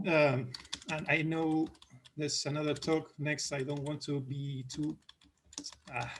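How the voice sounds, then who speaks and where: A man with a fairly high, somewhat breathy voice speaks at a fairly slow pace in a flat monotone. He leaves long, frequent pauses. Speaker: mathematician. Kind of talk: academic Q&A discussion. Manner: halting, many false starts.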